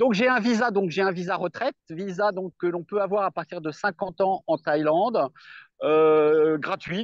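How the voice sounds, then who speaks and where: The man's voice sits high in pitch, recorded dry and close with no echo against a quiet background. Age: 60s. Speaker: retired expat farmer. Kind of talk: interview. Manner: halting.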